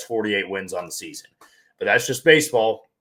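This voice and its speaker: A man talks at a very fast pace. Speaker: sports podcast host. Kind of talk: casual sports podcast monologue.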